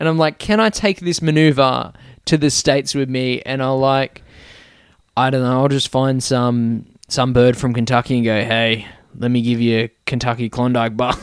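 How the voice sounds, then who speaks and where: With an Australian accent, a man talks at a moderate pace and medium pitch with ordinary pitch variation, captured on a very clean recording against a silent background. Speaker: guest co-host, podcast guest. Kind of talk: casual banter, comedic chat. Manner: casual, joking.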